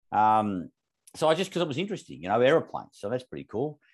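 Lively intonation marks this voice with an Australian accent. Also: man. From Australia, northern suburbs of Melbourne. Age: 50s. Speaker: company CEO. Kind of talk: interview.

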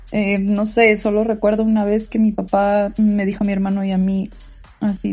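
A woman speaks at a moderate pace with a dark, mellow tone that is somewhat breathy. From Mexico, Tijuana. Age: 20s. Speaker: podcast host. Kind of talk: personal testimony. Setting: bedroom at home.

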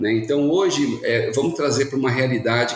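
A man's voice comes through with clear background noise behind it. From Santos, São Paulo state, Brazil. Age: 30s. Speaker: logistics company co-founder. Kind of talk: interview. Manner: halting, many fillers (né, é).

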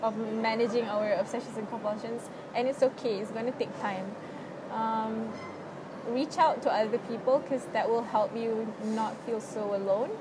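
A woman with a Malaysian accent speaks at a moderate pace in a fairly high voice with fairly even intonation, over noticeable background noise. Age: 20s. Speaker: university student with OCD. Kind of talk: casual interview about personal experience. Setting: public space in a mall.

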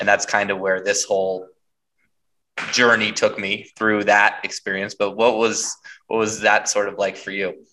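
At a moderate pace, a man with a fairly low pitch and a bright, sharp tone speaks in a monotone, flat intonation. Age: 30s. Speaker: podcast host. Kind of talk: interview.

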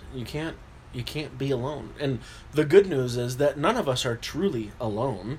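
Moderately paced male speech, somewhat breathy and medium in pitch, with ordinary pitch variation. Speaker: podcast co-host. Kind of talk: casual chat.

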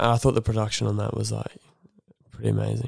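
A man talks at a fairly quick pace, and the sound is dry and close with no echo. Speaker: audio and camera operator. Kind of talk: casual chat.

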